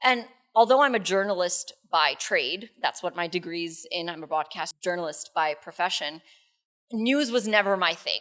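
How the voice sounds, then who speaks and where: Speaking with a New York accent, a woman talks at a moderate pace and a medium pitch with lively intonation. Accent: New York American. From New York City, US. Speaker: radio co-host. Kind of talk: podcast interview.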